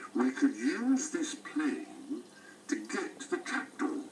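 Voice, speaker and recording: A man uses a put-on character voice, extremely high-pitched for a man, at a fairly slow pace. Clear background noise runs underneath. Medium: read story. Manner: warm, fatherly.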